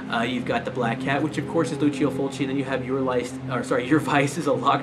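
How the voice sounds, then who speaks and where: A man talks at a very fast pace in a monotone, flat delivery. Music plays in the background, and the room echo is audible. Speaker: movie collector youtuber. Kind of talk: casual chat. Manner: hesitant, many fillers.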